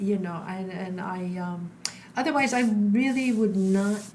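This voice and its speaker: A woman speaks at a fairly slow pace in a medium pitch, with audible room echo around her. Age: 60s. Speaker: stage actor and flamenco dancer. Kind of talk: interview conversation. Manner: halting, many fillers.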